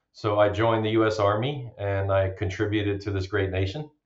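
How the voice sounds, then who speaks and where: Speaking at a moderate pace, a man with a fairly low pitch sounds somewhat breathy. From Germany, Romanian parents. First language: German and Romanian. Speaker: bitcoin miner, army veteran. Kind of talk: podcast interview.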